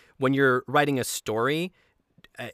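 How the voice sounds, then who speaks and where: With a bright, sharp tone, a man speaks in fairly even intonation. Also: dry, close sound with no echo, very clean recording, silent background. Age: 20s. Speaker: podcast host. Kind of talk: casual chat.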